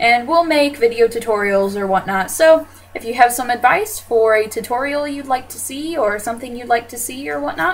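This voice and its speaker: With an American accent and a high pitch, a woman talks at a moderate pace with hardly any pauses, lively intonation and big swings in loudness, over noticeable background noise. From US South. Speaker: fashion vlogger. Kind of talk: video introduction vlog. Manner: casual, many filler words.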